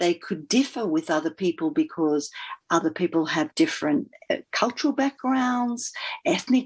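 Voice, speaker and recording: A woman with an Australian accent, fairly high-pitched, with very wide pitch swings, against a quiet background. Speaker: leadership coach and former fund manager. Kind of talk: podcast interview.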